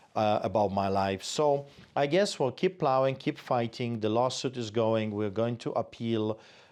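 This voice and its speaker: A man of medium pitch with a Polish accent, against a quiet background. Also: ordinary pitch variation, moderate pace. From Poland. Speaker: pastor. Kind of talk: interview.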